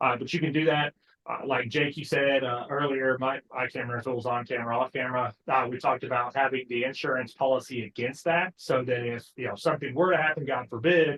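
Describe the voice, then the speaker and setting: A man talks at a very fast pace in a medium pitch. His intonation stays fairly even. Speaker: podcast co-host, financial planner. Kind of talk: podcast discussion.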